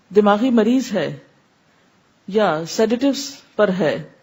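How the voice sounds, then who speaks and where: Recorded very cleanly against a silent background, a woman speaks at a medium pitch with ordinary pitch variation. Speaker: Islamic scholar. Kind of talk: religious lecture.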